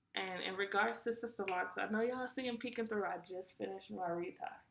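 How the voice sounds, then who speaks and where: This woman has a normal speaking voice with ordinary pitch variation. She talks at a fairly quick pace. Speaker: vlogger. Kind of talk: casual vlog talk to camera.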